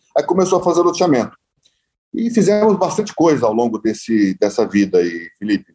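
A man's fairly high voice at a fairly quick pace, with very wide pitch swings and very even loudness. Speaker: real estate developer. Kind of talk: interview.

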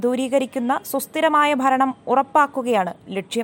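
This is a woman's voice, pitched high. It varies in pitch in an ordinary way. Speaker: news reader. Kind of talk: news reading. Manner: formal.

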